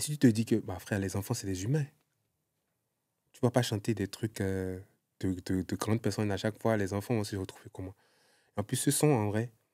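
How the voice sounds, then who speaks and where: With a dark, mellow tone and fairly low pitch, a man speaks at a moderate pace with ordinary pitch variation, big swings in loudness, and long, frequent pauses, in a very clean, dry, close recording with a silent background and no echo. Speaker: singer and former content creator. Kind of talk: casual interview chat. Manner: halting, many repetitions.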